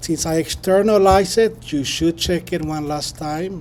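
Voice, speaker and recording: Against noticeable background noise, a man talks at a fairly slow pace with a fairly high pitch and ordinary pitch variation. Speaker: professor. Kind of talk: lecture. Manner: halting, many fillers.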